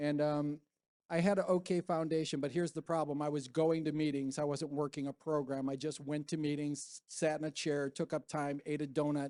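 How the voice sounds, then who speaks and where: Recorded dry and close with no echo over a quiet background, a man speaks fairly quickly at a fairly high pitch, his tone dark and mellow and his intonation monotone and flat. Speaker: recovery speaker. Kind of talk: testimony. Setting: stage with audience. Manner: fast.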